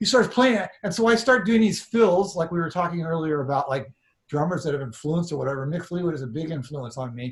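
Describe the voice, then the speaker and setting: Very fast and animated, a man speaks at a high pitch with lively intonation. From northern California (Sacramento). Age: 60s. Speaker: drummer. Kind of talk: casual interview storytelling. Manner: animated, with frequent repetitions and fillers.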